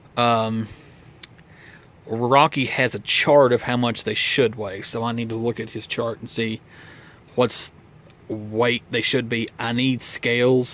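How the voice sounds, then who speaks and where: A man with an Appalachian accent, medium pitch, monotone, flat intonation, a very slow pace and long, frequent pauses. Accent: Appalachian Southern US. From Virginia (Tazewell, Appalachian coal country). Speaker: model railroad hobbyist vlogger. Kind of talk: casual vlog chat. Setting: home storage room with model layout. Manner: loud; halting, many fillers and restarts.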